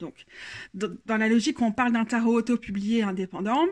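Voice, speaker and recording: With a Belgian accent, a woman speaks at a moderate pace with a fairly high, somewhat breathy voice. Her pitch varies in an ordinary way, and the recording is very clean with a silent background. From Belgium. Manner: trying to minimize accent, careful.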